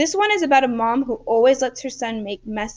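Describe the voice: Simple, plain reading aloud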